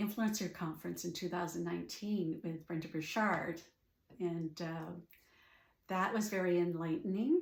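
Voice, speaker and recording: Moderate pace, somewhat breathy delivery and fairly even intonation in a Canadian accent, with audible room echo. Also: woman, fairly low pitch for a woman. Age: 60s. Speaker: life coach. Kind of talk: personal story monologue. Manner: hesitant, many fillers.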